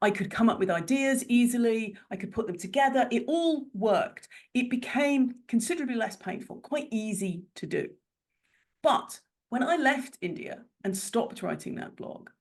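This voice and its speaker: A woman's fairly high voice with an English accent at a moderate pace. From Ireland. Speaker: business strategist and coach. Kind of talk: interview answer.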